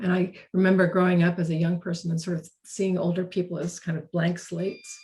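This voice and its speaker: A woman speaks with a dark, mellow tone, somewhat breathy and fairly low in pitch. Her intonation is monotone and flat, at a moderate pace. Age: 60s. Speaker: author and organizational consultant. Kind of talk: webinar conversation. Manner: halting, with many repetitions.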